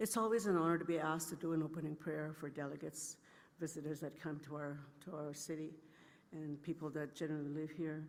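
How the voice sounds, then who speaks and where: Very fast and fairly even in intonation, a woman speaks with a very deep, low pitch. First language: Anishinaabe. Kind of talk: ceremonial opening remarks.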